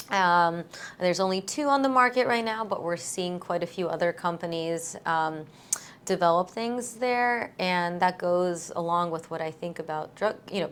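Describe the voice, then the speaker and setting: A woman speaks with a Russian accent. Her pitch sits fairly low for a woman. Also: ordinary pitch variation, moderate pace. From born in Latvia. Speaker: eye surgeon. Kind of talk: interview. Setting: video podcast.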